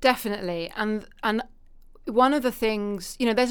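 In a very clean recording with a silent background, a woman with a British accent speaks at a moderate pace. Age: 40s. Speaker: literary agent and publishing consultant. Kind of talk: casual interview.

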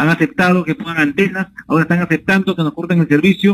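A man's voice, high in pitch. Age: 30s. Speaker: politician. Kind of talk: radio interview. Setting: phone call. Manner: halting.

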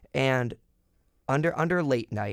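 A man with an American accent has an ordinary speaking voice, moderate pace and ordinary pitch variation. The sound is dry and close with no echo, on a very clean recording with a silent background. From small-town US. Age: young. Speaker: college radio host. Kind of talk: casual chat.

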